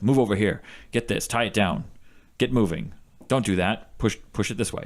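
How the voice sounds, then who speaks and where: A man puts on a character voice, gravelly and fairly low in pitch. He speaks at a moderate pace. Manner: commanding, rapid, incoherent.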